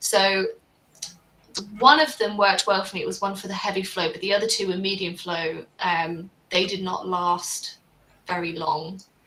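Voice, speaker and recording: Her British accent carries ordinary pitch variation as the woman speaks. Big swings in loudness come with long, frequent pauses. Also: medium pitch for a woman, moderate pace. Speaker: livestream panel host. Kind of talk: casual panel discussion. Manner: conversational, uses fillers.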